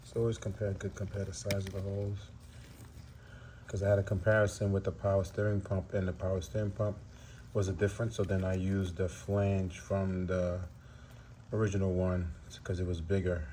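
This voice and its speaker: Mumbling at a fairly quick pace with long, frequent pauses, a man speaks at a fairly low pitch in a dark, mellow, somewhat breathy tone. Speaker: DIY car repair youtuber. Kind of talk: tutorial. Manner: casual, halting.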